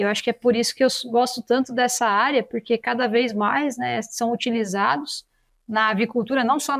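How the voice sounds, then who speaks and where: A woman speaks at a moderate pace in a fairly high pitch with fairly even intonation. The recording is very clean, with a silent background. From Brazil, São Paulo city. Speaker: veterinarian and animal science researcher. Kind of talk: interview. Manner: halting, frequent repetitions.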